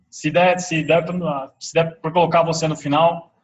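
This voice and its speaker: A man speaks at a fairly slow pace in a high, monotone voice with flat intonation. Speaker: webinar presenter, entrepreneur. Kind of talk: live webinar presentation.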